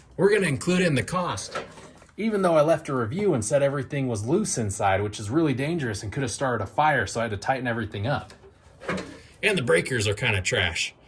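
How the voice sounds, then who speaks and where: Talking at a very fast pace, a man uses a medium pitch with very wide pitch swings. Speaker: DIY tiny house builder. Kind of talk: video tour with cost breakdown. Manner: casual, conversational.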